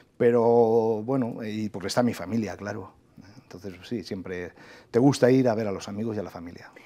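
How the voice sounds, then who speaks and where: A man speaks at a moderate pace with a fairly low pitch and a dark, mellow tone. His intonation is fairly even, but his loudness swings widely. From Spain, inland Valencia (Requena, Castilian-speaking); Valencia, Spain. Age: 40s. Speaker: government official and agricultural engineering professor; agricultural engineering professor. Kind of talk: TV interview. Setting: TV studio. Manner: hesitant, many fillers. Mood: calm, reflective. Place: studio. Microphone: lapel.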